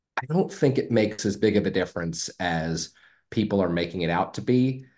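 A man with a plain, everyday voice and an American accent speaks at a moderate pace with lively intonation against a quiet background. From San Francisco, US. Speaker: sports podcast co-host. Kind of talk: casual chat.

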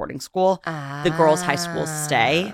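A very deep, low-pitched woman with an American accent, in a dry, close sound with no echo. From New York City. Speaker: interior designer. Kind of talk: casual chat.

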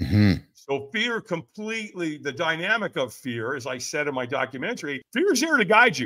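Over a silent background in a very clean recording, a man with a bright, sharp tone speaks at a moderate pace, making very wide pitch swings and hardly any pauses. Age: 70s. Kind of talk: interview. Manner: passionate; casual.

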